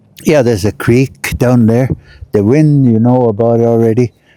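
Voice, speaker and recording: Recorded dry and close with no echo, a man talks at a medium pitch with a dark, mellow tone. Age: 80s+. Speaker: vlogger. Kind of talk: casual vlog monologue. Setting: outdoors. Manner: halting, many fillers.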